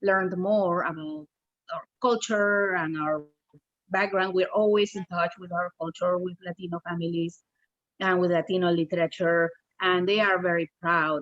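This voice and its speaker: At a moderate pace, a woman speaks with a Spanish accent and a fairly low pitch. Her intonation is monotone and flat, and the sound is dry and close with no echo. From Peru. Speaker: children's book author. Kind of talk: casual chat.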